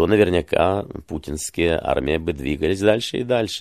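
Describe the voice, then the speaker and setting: With vocal fry and lively intonation, a man speaks at a moderate pace. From Ukraine, Kyiv. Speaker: journalist and political commentator. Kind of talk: interview.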